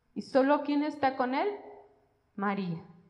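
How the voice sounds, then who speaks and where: A woman speaks with a high pitch and ordinary pitch variation at a fairly slow pace. Audible room echo is present. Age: 40s. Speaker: lay preacher. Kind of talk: sermon.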